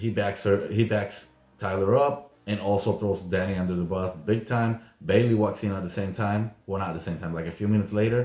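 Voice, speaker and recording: Speaking at a fairly quick pace with a non-native accent, a man uses a fairly low pitch and fairly even intonation. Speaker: YouTuber recapping reality TV. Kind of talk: casual vlog recap.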